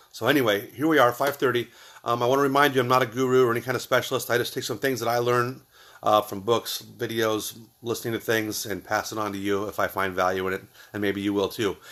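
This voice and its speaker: Delivered very fast, the speech holds fairly even intonation. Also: man, medium pitch for a man. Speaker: motivational video host. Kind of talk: motivational talk. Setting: garage, live stream. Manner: loud; casual, hesitant with fillers.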